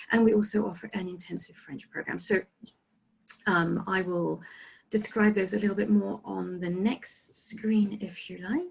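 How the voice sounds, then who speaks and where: A woman speaks with a somewhat breathy voice. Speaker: study abroad resident director. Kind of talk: informational presentation. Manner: fast.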